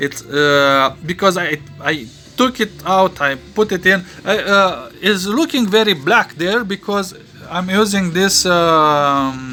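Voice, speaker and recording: Music plays in the background as a man speaks very slowly. His voice is high, with lively intonation. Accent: non-native. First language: not English. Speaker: electronics hobbyist and painter. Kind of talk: tutorial. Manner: halting, many fillers.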